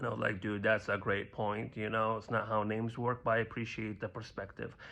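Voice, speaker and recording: A man with a slight Libyan accent speaks at a fairly quick pace in a fairly low voice. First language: Arabic. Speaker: stand-up comedian. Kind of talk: stand-up.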